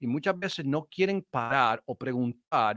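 Speaking with an English accent at a fairly slow pace, a man is heard in a dry sound with no echo and a quiet background. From Chicago. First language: English (speaking Spanish). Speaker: sales trainer and speaker; sales trainer, speaker. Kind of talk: interview. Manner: halting. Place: studio. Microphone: video call.

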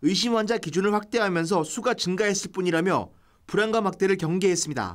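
A man's high-pitched voice at a fairly quick pace with ordinary pitch variation, on a very clean recording with a silent background. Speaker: news reporter. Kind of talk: news reading.

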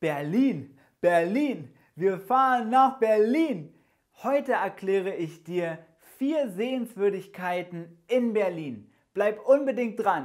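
A man's high-pitched, very slow delivery with lively intonation against a quiet background. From Germany. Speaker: German teacher. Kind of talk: language lesson. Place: studio. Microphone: lapel.

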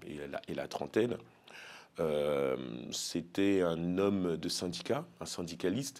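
At a very slow pace, a man speaks with a very deep, low pitch and ordinary pitch variation. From Paris suburbs, France; France. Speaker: elected officials' association leader; guest. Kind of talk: interview. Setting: studio. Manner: hesitant, many fillers. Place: studio. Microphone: lapel.

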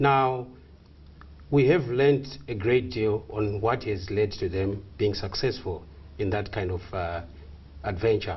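Somewhat breathy, a man speaks at a fairly low pitch. He takes long, frequent pauses. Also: ordinary pitch variation, fairly slow pace. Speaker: exchange strategist. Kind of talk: tv interview. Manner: halting. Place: studio.

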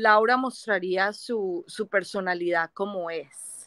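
Against a quiet background, a woman with a bright, sharp tone speaks at a very slow pace with ordinary pitch variation, in dry sound with no echo. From Colombia. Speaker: viewer joining live stream; guest. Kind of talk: casual chat. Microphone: video call.

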